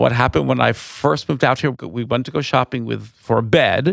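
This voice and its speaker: This man speaks with an American accent. The sound is dry and close, with no echo. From New York, Long Island. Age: 60s. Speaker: wine tour owner and nonprofit director. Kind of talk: interview. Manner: animated.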